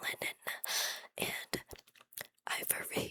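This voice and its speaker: A woman is whispering in a dry, close sound with no echo. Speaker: ASMR creator. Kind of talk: whispered history reading. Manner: whispered, soft-spoken.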